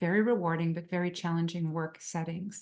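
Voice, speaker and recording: Speaking at a fairly quick pace with a French Canadian accent, a woman uses a fairly low pitch and fairly even intonation over a quiet background. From Quebec. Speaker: psychotherapist, webinar presenter. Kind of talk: webinar presentation.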